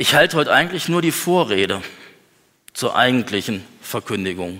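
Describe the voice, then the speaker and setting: A man with a medium pitch talks at a fairly slow pace, his intonation lively. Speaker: preacher. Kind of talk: sermon. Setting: church. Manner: earnest, lively preacher's delivery, conversational with humor.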